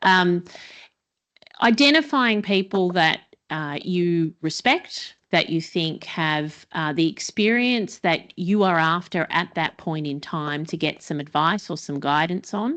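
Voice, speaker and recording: Against a quiet background, a woman with an Australian accent speaks very slowly at a fairly low pitch with lively intonation. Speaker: panelist, port executive. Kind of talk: panel discussion.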